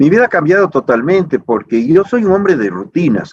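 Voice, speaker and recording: Very wide pitch swings run through a man's speech at a moderate pace. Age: 60s. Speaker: politician. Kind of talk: interview.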